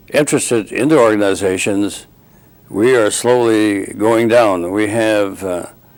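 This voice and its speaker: The voice moves at a fairly slow pace with fairly even intonation over noticeable background noise. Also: man. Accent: Upper Midwest. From North Dakota. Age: 70s. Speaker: war veteran. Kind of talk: oral history interview. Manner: halting.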